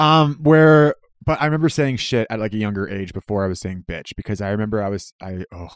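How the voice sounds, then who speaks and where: A man with a Canadian accent talks at a fairly quick pace and a fairly low pitch in an ordinary speaking voice. The sound is dry and close with no echo. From Canada. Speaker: podcast guest. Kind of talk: casual chat.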